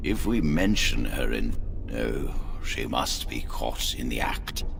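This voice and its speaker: Loud background noise beneath a man doing a put-on character voice. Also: fairly slow pace. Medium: video game. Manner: formal, measured.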